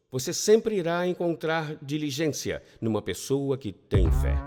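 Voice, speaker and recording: The recording is very clean, with a silent background. A man with a fairly high voice speaks at a very slow pace. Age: 60s. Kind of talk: lecture. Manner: animated.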